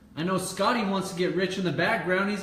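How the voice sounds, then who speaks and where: Loud and animated, a man talks at a fairly quick pace in a high voice, with audible room echo and noticeable background noise. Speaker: motivational speaker. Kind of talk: casual livestream talk.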